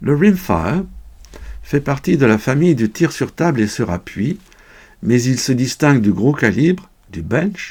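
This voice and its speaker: A man speaks at a medium pitch and fairly slow pace, with very wide pitch swings and vocal fry. The recording is very clean, with a silent background. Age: 70s. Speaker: sport shooter, retired English teacher. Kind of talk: scripted explanation. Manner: formal.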